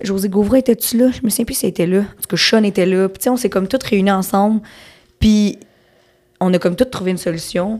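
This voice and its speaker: A woman speaks very fast at a medium pitch, in a dark, mellow tone with fairly even intonation. Long, frequent pauses break up her speech. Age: 20s. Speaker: barrel racer. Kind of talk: casual interview.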